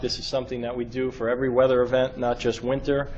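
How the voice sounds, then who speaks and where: With noticeable background noise, a medium-pitched man with a New York accent talks at a fairly quick pace. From New York City. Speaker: state transportation emergency official. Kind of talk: briefing to a government board. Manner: fast.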